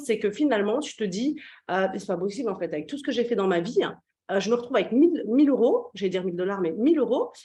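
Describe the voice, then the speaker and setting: Lively intonation carries this very fast speech. The voice sounds somewhat breathy. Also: woman, fairly high pitch for a woman. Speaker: business coach. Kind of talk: interview host.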